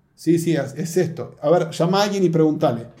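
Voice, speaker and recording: The man's fairly high voice has a dark, mellow tone, with audible room echo around it. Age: 40s. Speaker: pastor. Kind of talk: interview conversation.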